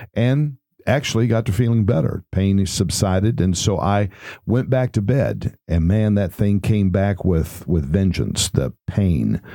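Speaking with a Texan accent, a man has a dark, mellow tone. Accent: Texan Southern US. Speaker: pastor. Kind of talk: personal testimony recounting his heart attack. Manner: conversational storytelling with folksy colloquial humor; relaxed with frequent hesitations and uhs.

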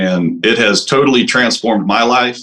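A man with a Texan accent speaks in a bright, sharp tone. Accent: Texan Southern US. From East Texas. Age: 40s. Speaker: caller seeking fitness advice. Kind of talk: call-in question. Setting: video call.

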